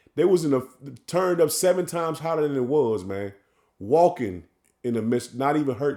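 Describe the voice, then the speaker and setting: A man's fairly high voice, dark and mellow in tone, with lively intonation at a fairly quick pace. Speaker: religious teacher. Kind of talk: scripture teaching. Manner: animated.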